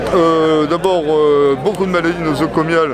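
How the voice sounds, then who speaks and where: A man speaks at a fairly slow pace with audible room echo. Crowd noise sits in the background. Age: 60s. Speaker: retired army officer at a protest. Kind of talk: street interview. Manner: hesitant, many fillers.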